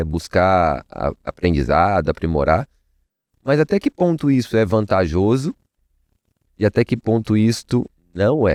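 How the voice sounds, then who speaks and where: In a Minas Gerais accent, a man speaks at a fairly slow pace with a dark, mellow tone and very wide pitch swings, in a dry, close sound with no echo against a quiet background. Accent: Mineiro (Minas Gerais) Portuguese. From Minas Gerais, Brazil. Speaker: networking entrepreneur. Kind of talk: podcast interview. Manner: casual, conversational.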